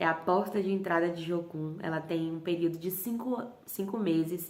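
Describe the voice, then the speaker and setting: The speaker talks at a moderate pace with fairly even intonation, over noticeable background noise and audible room echo. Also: woman, fairly low pitch for a woman. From Bahia, Brazil. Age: 30s. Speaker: missionary leader. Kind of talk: testimony.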